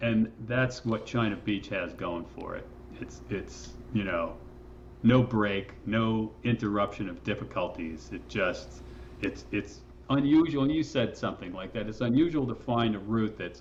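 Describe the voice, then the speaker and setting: An ordinary speaking voice, a man with fairly low pitch, lively intonation and a fairly slow pace. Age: 60s. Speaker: rock climber and guidebook author. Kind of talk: casual interview conversation. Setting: podcast interview. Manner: relaxed, with many fillers and restarts.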